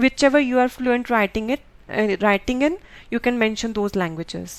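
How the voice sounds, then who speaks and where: A woman with a Punjabi accent speaks at a high pitch, with ordinary pitch variation and a moderate pace. The recording is very clean, with a silent background and a dry, close sound with no echo. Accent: Indian English (Punjabi). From India (Punjab). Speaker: nurse. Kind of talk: tutorial. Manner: halting, many fillers.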